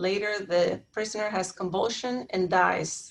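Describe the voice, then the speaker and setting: The voice belongs to a woman and is an unremarkable speaking voice. It sits at a medium pitch for her and varies in an ordinary way. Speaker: panelist presenting on civil rights law. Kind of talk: webinar presentation.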